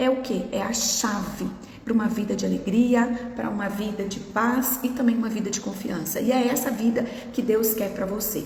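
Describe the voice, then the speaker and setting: There is noticeable background noise and audible room echo. A woman talks with fairly even intonation. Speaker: nutritionist. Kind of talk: live stream talk. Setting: Instagram live.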